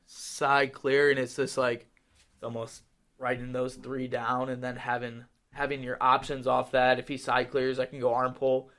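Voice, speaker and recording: Flat and monotone, a man with an American accent speaks at a medium pitch. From Wisconsin. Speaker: college wrestler. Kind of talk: casual chat. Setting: studio. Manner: fast talker.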